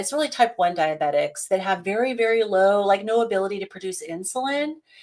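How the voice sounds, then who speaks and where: A woman with an American accent, a medium pitch, ordinary pitch variation and a fairly quick pace. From Central California. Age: 50s. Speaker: carnivore diet content creator, guest. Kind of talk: live Q&A discussion. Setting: livestream video call.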